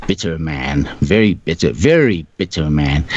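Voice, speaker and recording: A man takes a fairly slow pace, and his intonation is lively. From South Africa. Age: 60s. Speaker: engineer. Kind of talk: casual chat. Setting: studio.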